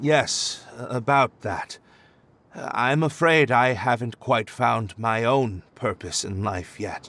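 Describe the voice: Slowly, a man delivers a put-on character voice with vocal fry. His tone is fairly bright, and pitch varies in an ordinary way. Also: medium pitch for a man.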